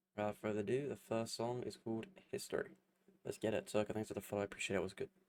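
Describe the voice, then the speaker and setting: Someone with a British accent talks at a very fast pace with ordinary pitch variation. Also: man. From UK. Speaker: music reaction streamer. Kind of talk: live stream reaction. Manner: casual, hesitant with fillers.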